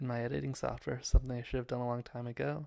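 Over a quiet background, a man with an American accent speaks in a flat monotone. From US West. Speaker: student and amateur filmmaker. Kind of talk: casual video monologue. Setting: home video recording. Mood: playful, mock-formal. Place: home room. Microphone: handheld.

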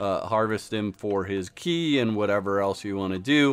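This man has a plain, everyday voice. His pitch sits fairly low. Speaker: gaming YouTuber. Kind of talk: tutorial. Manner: casual, filler-heavy.

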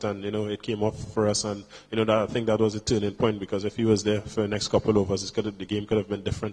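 A man talks very fast at a fairly low pitch. His intonation is monotone and flat. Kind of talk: interview answer. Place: hall. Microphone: handheld.

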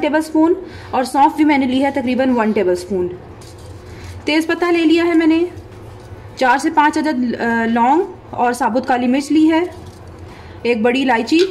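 Music plays behind a woman with a high pitch. She talks at a fairly slow pace, with long, frequent pauses. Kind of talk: cooking tutorial. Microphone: phone near.

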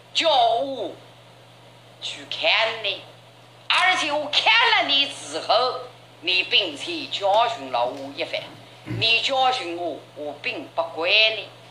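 A woman's fairly high voice in a Jiangsu accent, very slow with long, frequent pauses and very wide pitch swings, over noticeable background noise. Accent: Yangzhou dialect. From Yangzhou. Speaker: traditional storyteller. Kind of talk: traditional oral storytelling performance. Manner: expressive, full of tone and cadence.

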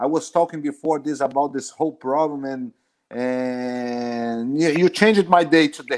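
This man has a normal speaking voice at a fairly high pitch. He speaks at a fairly slow pace with ordinary pitch variation. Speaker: jiu-jitsu instructor. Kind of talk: casual live interview. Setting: video call.

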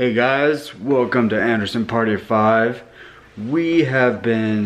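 The speaker is a man. His voice rises and falls with ordinary pitch variation. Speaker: family vlogger. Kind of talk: casual vlog chat. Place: kitchen. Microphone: phone near.

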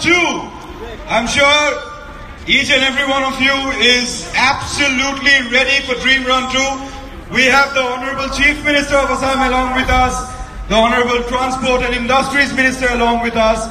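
A man's raised, projected voice in a monotone, flat intonation at a moderate pace, with long, frequent pauses, audible room echo and light background noise. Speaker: event announcer. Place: street.

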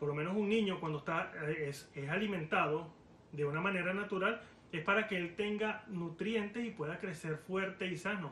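A man speaks fairly quickly in a high voice with ordinary pitch variation, audible room echo and light background noise. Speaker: preacher. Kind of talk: sermon. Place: home room. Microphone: phone near.

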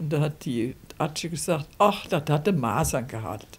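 The voice is somewhat breathy and carries lively intonation. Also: woman. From Rhineland, Germany. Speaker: dialect poet. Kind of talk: interview answer. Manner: conversational, reminiscing. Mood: warm, amused reminiscing. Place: home room.

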